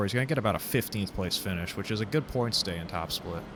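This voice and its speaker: A man's voice with a bright, sharp tone. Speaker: sim racing commentator. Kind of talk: live commentary. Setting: live stream, solo. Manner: monotone.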